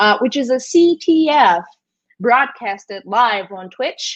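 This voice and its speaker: A woman speaks at a very slow pace. She has a slight Brazilian accent. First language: Brazilian Portuguese. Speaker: esports commentator. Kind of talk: live commentary. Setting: live stream. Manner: halting, many fillers.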